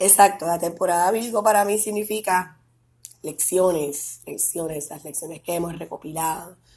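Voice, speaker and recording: Here is a woman with a Puerto Rican accent, fairly low in pitch and somewhat breathy. Her intonation stays fairly even while her loudness swings widely. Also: moderate pace. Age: 30s. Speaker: podcast host. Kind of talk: casual monologue.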